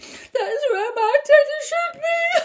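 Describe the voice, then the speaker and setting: An extremely high, squeaky put-on character voice comes through in this clip. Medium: read story. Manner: weepy, polite.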